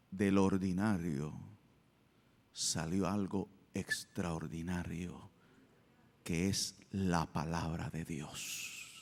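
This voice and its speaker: With a very deep, low pitch, a man speaks at a very slow pace, his intonation fairly even and his pauses long and frequent. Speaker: church pastor giving a sermon. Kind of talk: sermon.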